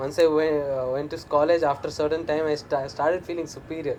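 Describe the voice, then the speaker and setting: Against noticeable background noise, a man talks at a fairly quick pace in a fairly high voice. His intonation stays monotone and flat. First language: not English. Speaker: stand-up comedian. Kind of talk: interview. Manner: halting, many fillers.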